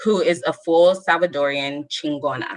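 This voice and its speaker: Fairly low in pitch, this woman's voice has a bright, sharp tone. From Southern California (Lynwood area). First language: Spanish. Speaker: storyteller. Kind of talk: reading aloud.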